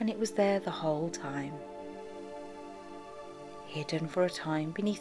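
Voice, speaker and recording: A woman with a fairly low pitch speaks in a calm, soothing tone at a fairly slow pace. Long, frequent pauses break up her speech, with music in the background. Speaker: clinical hypnotherapist. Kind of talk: guided hypnosis / meditation narration. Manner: slow, calm, soothing.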